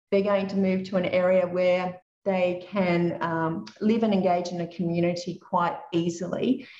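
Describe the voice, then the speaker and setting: A woman speaks with an Australian accent at a medium pitch and ordinary pitch variation. Her pace is fairly slow, with hardly any pauses. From Australia (Dubbo, regional New South Wales). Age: 50s. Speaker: property investment educator. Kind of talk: interview.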